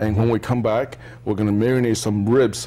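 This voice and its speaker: An unremarkable speaking voice at a moderate pace with fairly even intonation. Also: man. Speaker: cooking show host. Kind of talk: tutorial. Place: studio.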